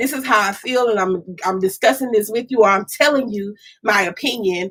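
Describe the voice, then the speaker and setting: A woman with an animated tone, fairly high pitch, ordinary pitch variation and a fairly quick pace. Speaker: podcast co-host. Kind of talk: casual chat. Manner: loud.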